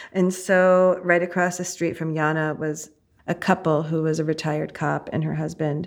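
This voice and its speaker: In a very clean recording with a silent background, a woman with an American accent speaks in a flat, monotone way. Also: fairly low pitch for a woman, moderate pace. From New Jersey. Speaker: disaster relief volunteer organizer. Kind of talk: interview testimony.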